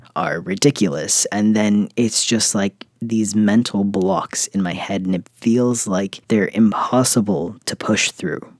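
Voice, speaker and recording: At a fairly slow pace with hardly any pauses, a man uses a plain, everyday voice at a fairly low pitch with ordinary pitch variation, in a dry, close sound with no echo. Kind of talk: personal reflective monologue to camera. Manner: earnest, soft-spoken.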